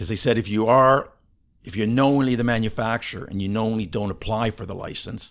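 This man has a normal speaking voice, fairly low in pitch with ordinary pitch variation. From Canada. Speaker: ADHD coach. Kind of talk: interview conversation.

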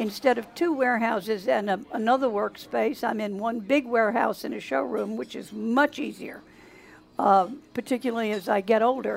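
Her pitch fairly high with ordinary variation, a woman speaks at a moderate pace with vocal fry. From south Louisiana. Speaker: beekeeper and honey maker. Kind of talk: interview.

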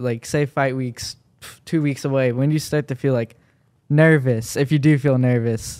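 This is a normal speaking voice from a man, medium in pitch with fairly even intonation. He talks at a moderate pace. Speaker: podcast host. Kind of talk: casual interview.

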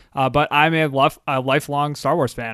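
A man speaks with a Philadelphia accent. The background is quiet. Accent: Philadelphia American. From Philadelphia, US. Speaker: podcaster guest and patron. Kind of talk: casual chat. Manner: enthusiastic.

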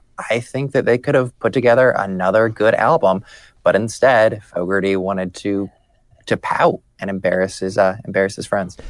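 A man with a normal speaking voice at a moderate pace, ordinary pitch variation, and a quiet background. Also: fairly low pitch for a man. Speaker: political journalist. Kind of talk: casual chat.

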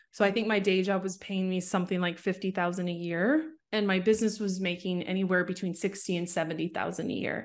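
A very fast delivery in a Canadian accent, with hardly any pauses, fairly even intonation and a quiet background. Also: woman, medium pitch for a woman. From Canada, Vancouver suburbs. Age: 30s. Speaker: social media marketing coach. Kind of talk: interview.

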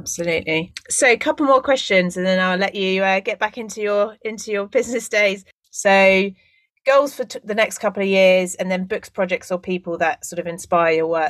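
Using a normal speaking voice, a woman talks at a fairly quick pace with ordinary pitch variation in a dry, close sound with no echo. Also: medium pitch for a woman. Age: 30s. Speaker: podcast host. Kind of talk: podcast interview.

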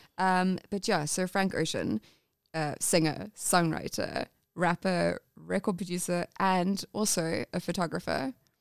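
In a very clean recording with a silent background and a dry, close sound with no echo, a woman with an English accent speaks fairly slowly at a fairly low pitch with ordinary pitch variation. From England. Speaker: podcast host. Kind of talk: casual chat.

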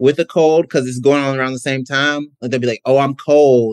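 An American-accented man talks at a fairly quick pace and fairly high pitch in an unremarkable speaking voice. The sound is dry and close, with no echo. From US South, Mississippi. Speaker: podcast guest. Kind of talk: casual chat.

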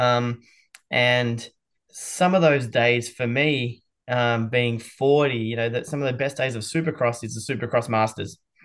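A man with an Australian accent speaks at a fairly slow pace, his medium pitch carried in fairly even intonation. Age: 40s. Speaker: motorsport event promoter. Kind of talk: podcast interview. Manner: hesitant, many fillers.

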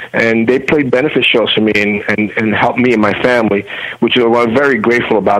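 Noticeable background noise fills the recording. A man talks at a very fast pace with a medium pitch. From Cuba. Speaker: hardcore punk singer and author. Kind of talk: casual interview.

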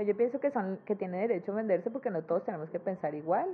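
The speaker talks very fast with lively intonation. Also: woman. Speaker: cartoonist. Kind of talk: interview conversation. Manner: cheerful.

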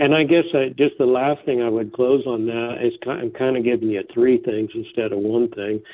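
A man with an American accent and an unremarkable speaking voice talks at a moderate pace with hardly any pauses. His pitch is medium and varies in an ordinary way. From Northern California (Eureka). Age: 50s. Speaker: horse trainer and clinician. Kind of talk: interview. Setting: remote interview, on the line.

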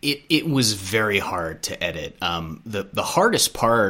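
Plain reading aloud with lively intonation

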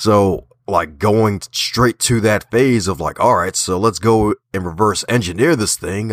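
In a very clean recording with a silent background, a man with a slight Southern US accent talks in an animated tone with lively intonation and a fairly low pitch, the sound dry and close with no echo. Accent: American with a slight Southern twang. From Baltimore. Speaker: author, podcaster and speaker. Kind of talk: interview.

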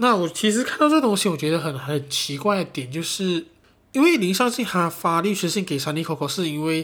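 The speaker has a Malaysian accent and an animated tone. The pace is moderate and the intonation lively. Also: man. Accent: Malaysian Mandarin. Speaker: podcast host. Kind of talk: casual solo chat.

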